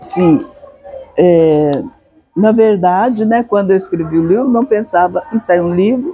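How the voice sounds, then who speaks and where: Over noticeable background noise, a woman with a medium pitch speaks at a very slow pace, her intonation lively. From northern São Paulo state, Brazil (Franca region). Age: 80s+. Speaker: author. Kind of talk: interview. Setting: literary festival venue.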